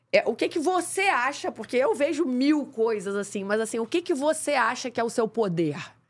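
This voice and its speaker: With hardly any pauses, a woman talks at a moderate pace. Her high-pitched voice swings very widely in pitch. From Rio de Janeiro, Praça Seca; Rio de Janeiro. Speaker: podcast host. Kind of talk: casual interview. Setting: studio. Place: studio. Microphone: studio mic.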